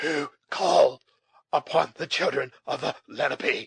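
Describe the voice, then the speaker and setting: In a put-on character voice, a man speaks raspy and fairly slowly, the sound dry and close with no echo. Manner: dignified, weak, tottering.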